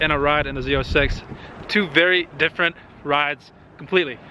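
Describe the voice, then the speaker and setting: Over noticeable background noise, a man talks at a very fast pace. His pitch rises and falls in an ordinary way. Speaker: car vlogger. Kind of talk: casual vlog talk. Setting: outdoors in the cold canyons.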